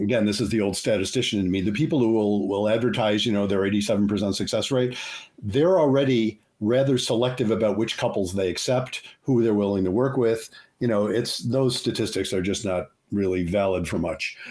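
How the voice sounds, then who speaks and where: A fairly low-pitched man at a fairly quick pace, with ordinary pitch variation, very even loudness and audible room echo. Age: 70s. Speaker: psychologist and couples therapist. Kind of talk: interview.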